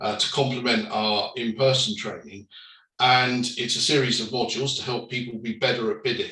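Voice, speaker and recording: Ordinary pitch variation runs through this man's medium-pitched voice. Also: moderate pace. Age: 60s. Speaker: company director, panellist. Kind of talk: panel discussion. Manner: hesitant, many fillers.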